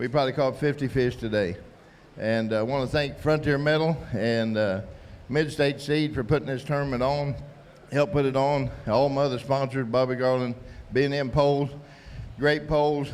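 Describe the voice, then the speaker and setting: At a moderate pace, a man with an unremarkable speaking voice talks in a fairly high pitch and fairly even intonation. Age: 60s. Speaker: tournament angler. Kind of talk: post-tournament interview.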